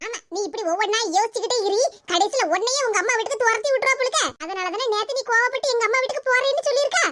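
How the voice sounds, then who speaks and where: A woman performs a cartoonish character voice at an extremely high pitch, talking fairly quickly with ordinary pitch variation. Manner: busybody, loud.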